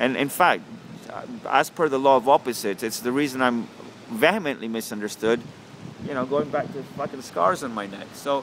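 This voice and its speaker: Over noticeable background noise, a man talks at a fairly quick pace in a fairly high voice. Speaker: vlogger. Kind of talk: casual monologue. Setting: outdoors. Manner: loud.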